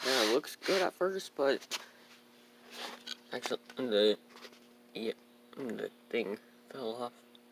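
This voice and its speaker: A man speaks quietly at a fairly slow pace, with long, frequent pauses. His pitch varies in an ordinary way, and the sound is dry and close with no echo. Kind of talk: casual car review to camera. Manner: quiet, hard to hear.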